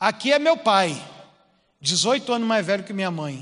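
Lively intonation carries the words along at a fairly slow pace. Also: man. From Rio de Janeiro, Baixada Fluminense (Duque de Caxias). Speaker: preacher. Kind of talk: sermon.

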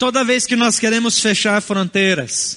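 Bright, sharp, raised and projected, a man's fairly slow speech. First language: a non-Portuguese family language (speaking Portuguese). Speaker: pastor. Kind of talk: sermon.

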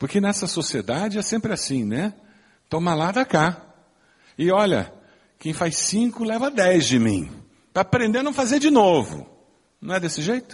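A man with a high pitch, very wide pitch swings, and long, frequent pauses. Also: moderate pace. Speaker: pastor. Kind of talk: sermon. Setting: church.

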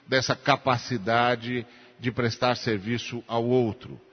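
This man talks at a very slow pace in a medium pitch. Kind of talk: sermon, expository Bible teaching in a church.

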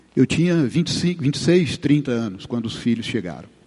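A man's voice with very wide pitch swings. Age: 60s. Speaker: preacher. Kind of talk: Q&A answers; sermon.

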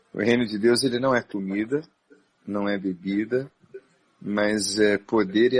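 An ordinary speaking voice, this man talks at a moderate pace with ordinary pitch variation. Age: 40s. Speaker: Baptist pastor and psychologist. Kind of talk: interview on a live stream.

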